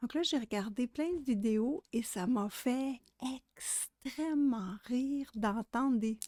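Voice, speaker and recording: A woman speaks very slowly in a high voice with a dark, mellow tone and ordinary pitch variation. The sound is dry and close with no echo, on a very clean recording against a silent background. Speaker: adult colouring artist. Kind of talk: ASMR colouring video. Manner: whispered.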